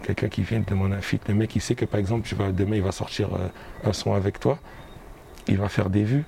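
Fairly quick, fairly evenly intoned speech at a very even loudness, over noticeable background noise. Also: man, fairly low pitch for a man. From Guadeloupe, Pointe-à-Pitre. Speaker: singer. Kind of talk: casual interview. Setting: bookshop cultural space.

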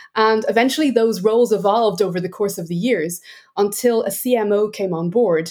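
At a fairly quick pace, a woman with an Irish accent speaks in a dark, mellow tone with ordinary pitch variation. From Ireland. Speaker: sales enablement executive. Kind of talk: interview conversation.

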